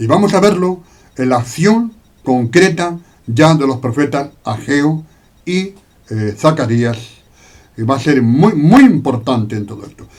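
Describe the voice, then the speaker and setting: With long, frequent pauses, a man with a fairly high, somewhat breathy voice talks at a fairly slow pace, his intonation lively and his volume rising and falling widely. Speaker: Bible teacher. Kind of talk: Bible study lecture. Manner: hesitant, many fillers.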